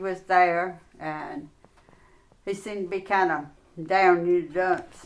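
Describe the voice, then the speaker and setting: A woman with a North Carolina accent speaks at a very slow pace. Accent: US South, North Carolina. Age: 70s. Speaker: interviewee, grandmother. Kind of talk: casual interview.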